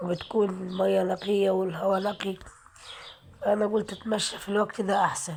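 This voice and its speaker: Against noticeable background noise, a woman talks at a moderate pace with a medium pitch and monotone, flat intonation. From Aswan, Upper Egypt. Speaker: vlogger. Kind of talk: walking vlog. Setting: outdoors. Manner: prayerful, repetitive invocations.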